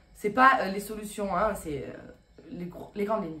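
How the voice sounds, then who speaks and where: A woman speaks at a fairly quick pace and a medium pitch. Audible room echo surrounds her voice. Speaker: relationship advice youtuber. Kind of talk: vlog monologue. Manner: fast; casual with fillers.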